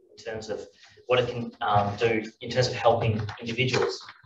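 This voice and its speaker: Recorded with audible room echo and light background noise, a man talks at a moderate pace. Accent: Australian. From Australia. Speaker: philosophy professor and panel moderator; philosophy professor, panel moderator. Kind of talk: conference talk. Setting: stage with audience. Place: hall. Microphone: camera far.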